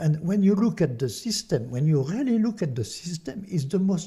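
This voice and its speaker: Speaking at a moderate pace in a French accent, a man with a dark, mellow tone and high pitch makes very wide pitch swings. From France. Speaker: artist and activist. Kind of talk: casual chat. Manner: animated.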